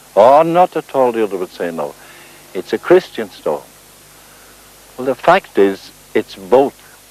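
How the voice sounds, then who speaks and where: Recorded dry and close with no echo but with noticeable background noise, a man talks fairly slowly while his pitch swings very widely. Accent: Northern Irish. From South Armagh, Northern Ireland. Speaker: folklorist and writer. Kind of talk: documentary presenting on location.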